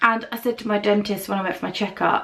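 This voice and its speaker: A woman speaks at medium pitch in an English accent. Background noise is noticeable. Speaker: beauty vlogger. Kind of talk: casual chat.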